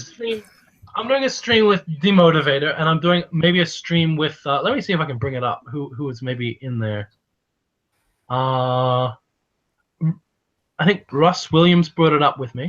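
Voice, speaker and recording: A man with an American accent, fairly high in pitch, at a moderate pace with lively intonation and long, frequent pauses. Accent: slight American-tinged Australian. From Australia. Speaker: online commentator. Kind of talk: casual chat. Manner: halting.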